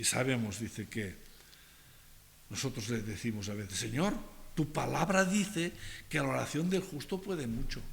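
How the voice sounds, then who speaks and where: Amid audible room echo, a medium-pitched man speaks in a somewhat breathy voice with very wide pitch swings and long, frequent pauses. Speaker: pastor. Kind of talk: sermon. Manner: slow.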